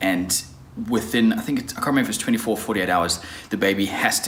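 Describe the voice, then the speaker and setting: The man's voice shows ordinary pitch variation. Behind it, noticeable background noise can be heard. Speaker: vlogger. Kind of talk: vlog.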